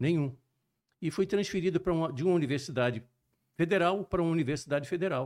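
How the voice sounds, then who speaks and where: A man with a high pitch talks very fast, yet takes long, frequent pauses. His loudness swings widely. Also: ordinary pitch variation. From Brazil, Juiz de Fora (Minas Gerais) and Rio de Janeiro. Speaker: cardiologist and sports medicine physician. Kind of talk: podcast interview.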